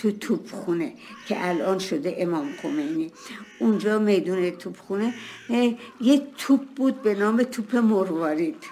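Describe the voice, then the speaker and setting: A woman at a medium pitch speaks at a fairly slow pace with lively intonation over noticeable background noise. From Tehran, Iran. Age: 80s+. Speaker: elderly interviewee. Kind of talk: interview.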